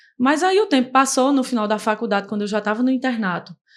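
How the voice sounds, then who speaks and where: Talking at a very fast pace, a woman with a fairly high pitch uses ordinary pitch variation on a very clean recording with a silent background. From Brazil, Paraíba (Campina Grande). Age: 20s. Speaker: dermatology resident doctor. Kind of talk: podcast interview.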